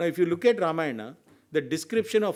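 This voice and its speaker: A man with an Indian accent speaks at a fairly high pitch, with ordinary pitch variation. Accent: Indian English, Telugu. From India, Telugu-speaking region. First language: Telugu. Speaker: senior advocate, legal expert. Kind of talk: round table discussion talk. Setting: round table discussion event.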